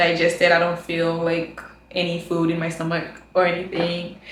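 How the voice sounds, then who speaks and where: A woman's fairly low voice, with audible room echo. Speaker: student vlogger. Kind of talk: casual vlog monologue.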